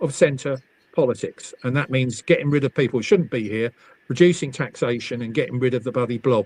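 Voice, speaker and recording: A man with an English accent at a moderate pace, in a dry, close sound with no echo. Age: 70s. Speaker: motoring campaigner and party spokesman. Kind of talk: casual chat. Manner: halting.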